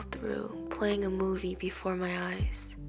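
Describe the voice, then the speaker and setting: Very slow speech with music in the background. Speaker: poet. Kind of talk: spoken word poetry reading.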